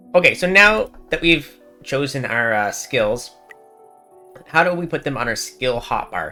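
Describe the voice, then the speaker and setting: Over music in the background, a man speaks in a relaxed tone at a fairly slow pace. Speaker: gaming guide creator. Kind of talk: game tutorial voiceover. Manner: casual, relaxed.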